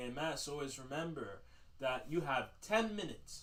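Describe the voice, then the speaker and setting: Loud and bright with a sharp tone, a man talks at a moderate pace with very wide pitch swings as the room echo comes through audibly. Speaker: livestream host. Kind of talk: casual livestream monologue.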